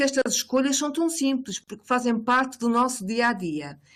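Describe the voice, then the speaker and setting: Lively intonation from a high-pitched woman, in a very clean recording over a silent background. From Portugal. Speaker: professor. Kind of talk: academic presentation. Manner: halting, many fillers and repetitions.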